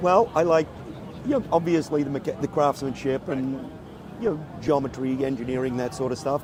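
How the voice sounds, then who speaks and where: Noticeable background noise runs under a man's fairly high-pitched voice. He talks at a fairly quick pace with ordinary pitch variation. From Australia. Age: 60s. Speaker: motorcycle builder and show judge. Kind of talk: casual interview.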